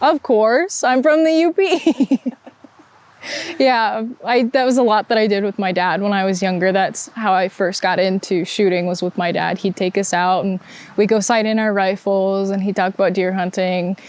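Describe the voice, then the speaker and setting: Speaking with an American accent, a woman keeps a medium pitch, ordinary pitch variation and a moderate pace. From Upper Peninsula of Michigan (Manistique). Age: 20s. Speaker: college student athlete. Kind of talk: interview.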